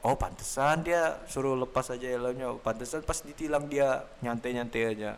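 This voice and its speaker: Using a plain, everyday voice, a man talks at a moderate pace with hardly any pauses, his medium pitch kept fairly even. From Samarinda, East Kalimantan, Indonesia. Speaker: podcast host. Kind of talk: casual chat.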